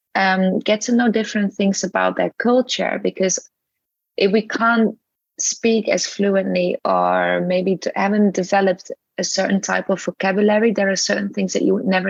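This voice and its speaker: Recorded dry and close with no echo, a woman with a non-native accent speaks at a moderate pace and very even loudness. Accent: foreign accent in English. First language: not English. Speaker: yoga teacher and English teacher. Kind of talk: interview podcast.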